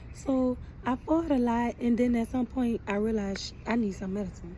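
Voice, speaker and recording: A woman's fairly high, somewhat breathy voice with a dark, mellow tone, fairly even intonation and a fairly slow pace. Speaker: vlogger. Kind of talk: casual monologue. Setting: outdoors in the sun.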